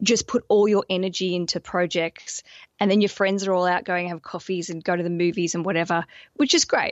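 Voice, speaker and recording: Speaking at a moderate pace, a woman with an Australian accent uses a medium pitch. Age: 30s. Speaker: podcaster and wedding planning coach. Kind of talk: casual chat. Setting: video call.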